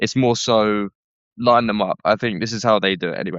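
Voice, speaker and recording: This man talks at a moderate pace in a fairly low voice, with a Southeast London accent. His intonation stays monotone and flat. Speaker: charity worker. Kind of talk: podcast interview. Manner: casual, hesitant.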